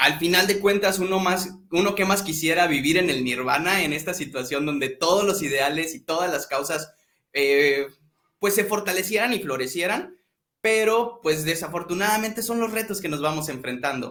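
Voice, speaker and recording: A man talks at a moderate pace with a high pitch and ordinary pitch variation. His tone is bright and sharp. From northern Mexico, Tamaulipas. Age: 20s. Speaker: social projects consultant. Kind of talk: interview.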